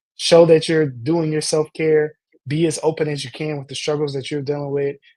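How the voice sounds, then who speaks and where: The man talks at a fairly quick pace with a fairly high pitch. His tone is dark and mellow. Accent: American. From Indiana, US Midwest. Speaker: youth and parent empowerment coach, counselor. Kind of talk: interview conversation. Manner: halting, frequent false starts.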